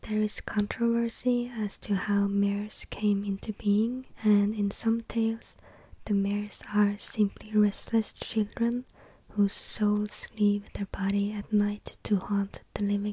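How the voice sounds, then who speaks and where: A soft-spoken voice at a very slow pace. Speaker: ASMR creator. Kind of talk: ASMR folklore reading. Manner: soft-spoken, slow.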